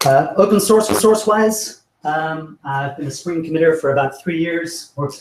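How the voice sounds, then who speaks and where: With an American accent, a man talks at a fairly slow pace. His pitch is fairly high, with ordinary variation. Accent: sounds American. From not American. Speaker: software engineer, meetup speaker. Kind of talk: tech talk presentation. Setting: meetup with live audience. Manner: halting, many repeated words.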